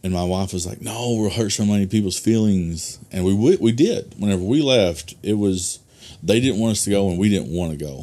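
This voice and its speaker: With an Arkansas accent, a man speaks at a fairly quick pace in a very deep, low voice with a dark, mellow tone and ordinary pitch variation. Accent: Southern US (Arkansas). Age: 30s. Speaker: pastor. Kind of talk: casual interview chat. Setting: studio.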